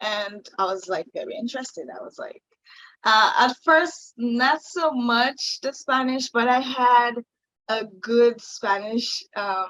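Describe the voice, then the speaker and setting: A woman in a Haitian accent, high-pitched and very slow. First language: Haitian Creole. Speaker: singer-songwriter. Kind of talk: interview. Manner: halting, many fillers.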